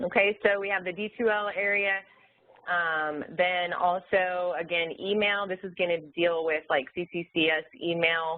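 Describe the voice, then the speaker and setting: Here a woman speaks with a fairly low pitch. Her intonation is fairly even. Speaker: online learning support presenter. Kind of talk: webinar presentation. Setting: webinar screen share. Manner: fast.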